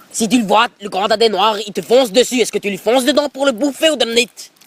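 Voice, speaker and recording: In an Alsatian accent, a man speaks very fast at an extremely high pitch with ordinary pitch variation, the sound dry and close with no echo. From Alsace.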